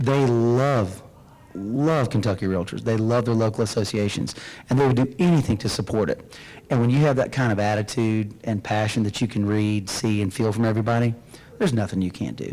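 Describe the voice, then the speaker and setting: Over noticeable background noise, a man with a Southern US accent talks at a fairly quick pace, his medium pitch showing ordinary variation. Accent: Southern twang. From Florida Panhandle. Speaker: realtor association executive. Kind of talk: interview.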